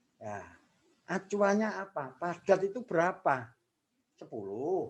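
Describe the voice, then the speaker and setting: His pace is very slow. The man's pitch swings very widely. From Java, Indonesia (father from Bantul Yogyakarta, mother Kediri). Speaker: law lecturer. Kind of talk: lecture.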